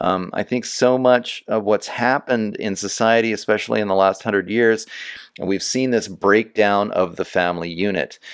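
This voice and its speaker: A man with a plain, everyday voice speaks at a moderate pace, fairly low in pitch and with fairly even intonation, in a very clean recording with a silent background. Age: 40s. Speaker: podcast host. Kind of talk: interview conversation; scripted introduction.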